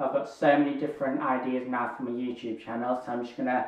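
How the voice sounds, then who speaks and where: The speaker is a man. His voice carries audible room echo and noticeable background noise. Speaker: YouTuber, hearing aid wearer. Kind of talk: casual Q&A vlog.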